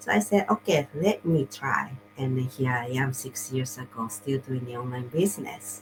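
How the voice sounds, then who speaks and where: A woman with a non-native accent speaks at a moderate pace in a very deep, low voice with lively intonation, music playing in the background. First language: not English. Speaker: online business coach and show host. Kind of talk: casual interview chat. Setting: livestream video call. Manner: halting, with repetitions.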